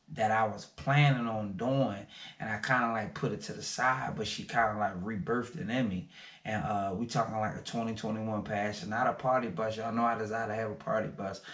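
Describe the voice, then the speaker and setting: Amid audible room echo, a man talks at a fairly quick pace in a medium pitch with ordinary pitch variation. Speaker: small business owner, vlogger. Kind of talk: casual vlog talk to camera. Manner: fast.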